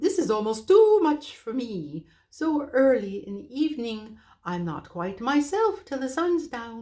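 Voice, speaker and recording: In a put-on character voice, a female-sounding speaker goes high and fairly slow with very wide pitch swings, on a very clean recording with a silent background. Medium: read story. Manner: hooting, a little flustered.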